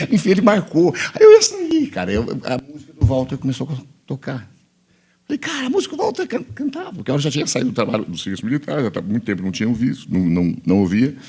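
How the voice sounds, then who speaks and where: Talking at a very fast pace, a man shows big swings in loudness. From Bahia, Brazil. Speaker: pastor. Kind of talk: interview testimony. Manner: casual, conversational.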